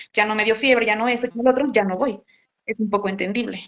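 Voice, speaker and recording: Very fast speech from a woman, fairly high in pitch, the intonation fairly even. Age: 20s. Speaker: psychologist. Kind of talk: casual interview conversation.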